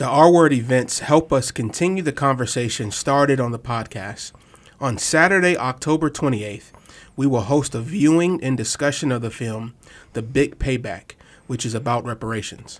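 On a very clean recording with a silent background, a man uses a normal speaking voice at a medium pitch, a moderate pace and ordinary pitch variation. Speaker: co-host. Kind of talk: casual podcast discussion.

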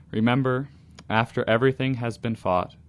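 A man speaks at a moderate pace. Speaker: guest, actor. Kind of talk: poem read aloud, intimate reading about writing on wife's back.

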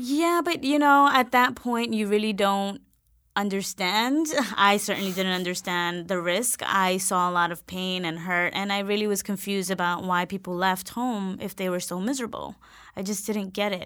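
In a very clean recording with a silent background, a woman with an American accent speaks at a moderate pace and medium pitch, her tone bright and sharp. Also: ordinary pitch variation. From New York, South Bronx. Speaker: education nonprofit director. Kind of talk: interview.

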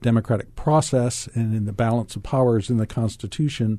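A man with an American accent speaks at a medium pitch, his tone dark and mellow and somewhat breathy. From US Deep South. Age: old. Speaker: clinical psychologist. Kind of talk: radio panel discussion. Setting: radio studio.

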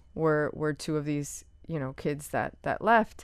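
A woman with an American accent, a very deep, low pitch and fairly even intonation, against a quiet background. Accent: Miami Cuban American English. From Miami, Cuban American family. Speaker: playwright and author. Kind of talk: interview conversation.

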